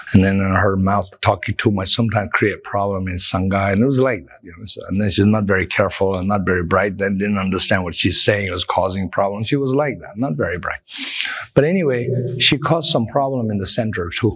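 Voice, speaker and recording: The man talks at a fairly quick pace with ordinary pitch variation and big swings in loudness. Noticeable background noise runs under him. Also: fairly low pitch for a man. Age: 60s. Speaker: Buddhist teacher. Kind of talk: dharma talk. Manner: halting.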